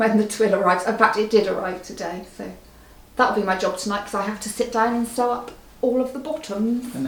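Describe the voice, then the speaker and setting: Over noticeable background noise, a woman talks with a fairly high pitch. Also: fairly even intonation, fairly quick pace. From Bristol, England.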